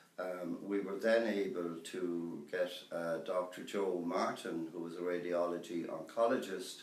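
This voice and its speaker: A man's very deep, low voice in a western Irish accent, fairly slow, with audible room echo. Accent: Irish (west of Ireland). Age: 60s. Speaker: cancer patient. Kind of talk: testimony. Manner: hesitant, many fillers.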